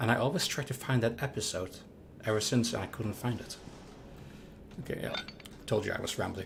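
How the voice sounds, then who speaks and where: A man with a medium pitch talks at a fairly quick pace and ordinary pitch variation, taking long, frequent pauses. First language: not English. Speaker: livestreaming gamer. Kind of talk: live gameplay commentary. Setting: livestream. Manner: halting, with false starts.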